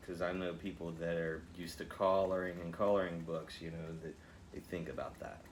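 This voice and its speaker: A man speaks at a very deep, low pitch and a moderate pace in a monotone, flat delivery, with audible room echo. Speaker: painting instructor. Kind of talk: tutorial. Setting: home studio, one earpiece with music. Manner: loud; casual, chatty.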